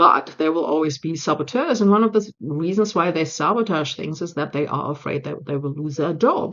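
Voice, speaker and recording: Speaking with a German accent, a woman with a very deep, low voice goes at a fairly quick pace with hardly any pauses and ordinary pitch variation. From Germany. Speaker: change management consultant and speaker. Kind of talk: speech re-recording / talk. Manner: direct.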